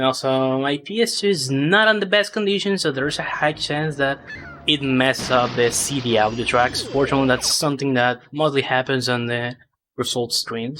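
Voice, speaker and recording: Speech at a moderate pace with lively intonation and a non-native accent, set against music in the background. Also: man, fairly high pitch for a man. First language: not English. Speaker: speedrunner. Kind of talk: live gameplay commentary. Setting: live stream.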